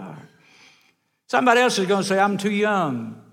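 A man with a Southern US accent, high in pitch, at a fairly quick pace. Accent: US South. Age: old. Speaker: evangelist. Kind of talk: sermon. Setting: church.

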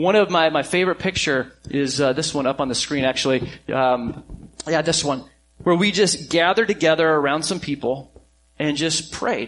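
A man's unremarkable speaking voice, fairly high in pitch, with ordinary pitch variation and a moderate pace. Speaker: pastor. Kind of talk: sermon. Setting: church.

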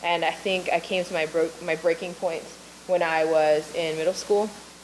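A woman speaks in a fairly low pitch with monotone, flat intonation over noticeable background noise. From Maui, Hawaii. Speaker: ministry leader. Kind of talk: testimony.

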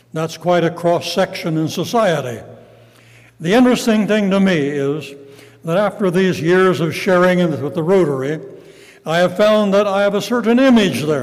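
With music in the background, a high-pitched man speaks at a moderate pace with ordinary pitch variation. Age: 80s+. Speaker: retired pastor and evangelist. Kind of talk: sermon. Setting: church.

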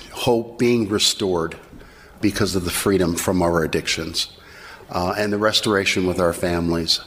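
There is noticeable background noise as a man talks at a moderate pace with a very deep, low pitch, fairly even intonation and very even loudness. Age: old. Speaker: addiction recovery program team lead. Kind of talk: testimony.

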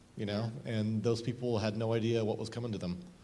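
A man's medium-pitched voice, dark and mellow in tone, at a fairly quick pace with audible room echo. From Southern Oregon, US Northwest. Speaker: blind mountain climber. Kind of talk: interview before church audience.

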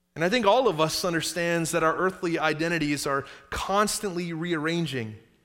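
The man's voice is high-pitched and bright, with a sharp tone and an American accent. Audible room echo surrounds it. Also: ordinary pitch variation, moderate pace. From Upstate New York, then South Carolina from age 15. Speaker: pastor. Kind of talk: sermon. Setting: church. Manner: conversational, audience-engaging.

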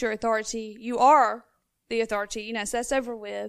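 Speech at a fairly quick pace comes in a monotone, flat intonation. The recording is very clean, with a silent background. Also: woman. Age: 20s. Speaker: mother of eight. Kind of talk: testimony. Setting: church.

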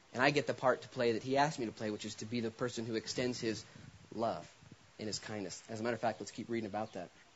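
This man talks very fast at a medium pitch, keeping his intonation fairly even. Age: 30s. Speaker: pastor. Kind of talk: sermon.

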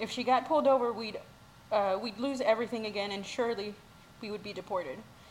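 An American accent with ordinary pitch variation over noticeable background noise. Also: woman. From Mexico, raised in the US. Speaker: church member sharing testimony. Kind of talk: testimony.

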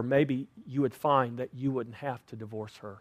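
At a moderate pace, the speech comes through in a very clean recording with a silent background. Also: man. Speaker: pastor. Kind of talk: sermon. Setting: church. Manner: loud.

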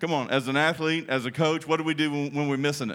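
On a very clean recording with a silent background, a man with a Texan accent talks fairly quickly at a fairly high pitch with fairly even intonation. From Texas. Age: 60s. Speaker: pastor. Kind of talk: sermon. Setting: church with congregation.

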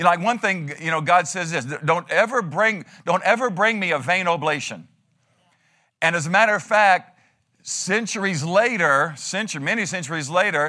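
On a very clean recording with a silent background, a man speaks in a high, bright, sharp, animated voice with ordinary pitch variation. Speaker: pastor. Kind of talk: sermon. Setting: church. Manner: fast.

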